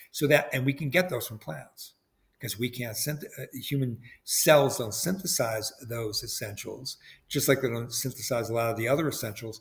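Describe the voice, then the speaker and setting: A man speaks in a somewhat breathy voice. The recording is very clean, with a silent background. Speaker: biochemistry professor. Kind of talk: lecture. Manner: fast.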